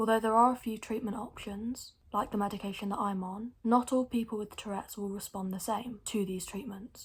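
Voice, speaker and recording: A woman's somewhat breathy, fairly high-pitched voice at a moderate pace, with flat, monotone intonation. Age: young, 19. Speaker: vlogger with Tourette syndrome. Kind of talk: informational vlog. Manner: involuntary vocal tics, squeaky grunts.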